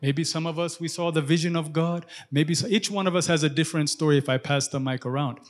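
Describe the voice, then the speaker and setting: Talking at a very fast pace, a man holds a fairly high pitch with fairly even intonation. The recording is very clean, its background silent. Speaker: pastor. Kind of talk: sermon. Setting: church service with congregation.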